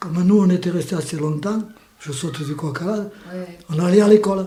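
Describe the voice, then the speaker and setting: Moderate in pace, a man speaks in a high voice. His pitch moves in an ordinary way. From Spain. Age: 80s+. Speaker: war refugee, witness. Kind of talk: interview answer, personal testimony.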